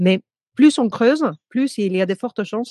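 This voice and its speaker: The speaking pace is fairly slow. Behind the voice, the background is quiet. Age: 40s. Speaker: coach for women entrepreneurs. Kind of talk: casual interview chat.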